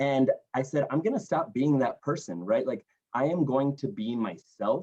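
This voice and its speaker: A man with an American accent talks at a moderate pace in a dark, mellow tone. His fairly high pitch swings very widely. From Colorado, Fort Collins. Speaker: community leader, alumni relations director. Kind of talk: interview. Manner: animated.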